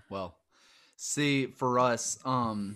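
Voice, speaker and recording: A man speaks with a strong Southern US accent. His pitch varies in an ordinary way. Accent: thick Southern US. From US South. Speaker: podcast host. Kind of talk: casual interview chat. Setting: recorded video call.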